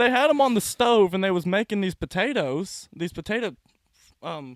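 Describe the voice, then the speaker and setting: A man with a Southern US accent speaks at a high pitch with very wide pitch swings. The sound is dry and close, with no echo. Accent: southern drawl. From US South. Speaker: comedian. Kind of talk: casual chat.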